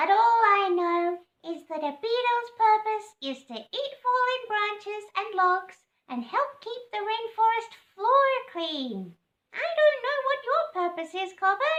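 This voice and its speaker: In a put-on character voice, the speaker goes along at a fairly slow pace with an extremely high, squeaky pitch. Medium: read story.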